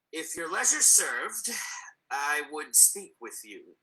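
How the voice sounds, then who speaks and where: A put-on character voice from a man, fairly high in pitch and fairly slow in pace. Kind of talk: amateur Shakespeare reading. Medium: stage play. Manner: stiff, formal courtesy.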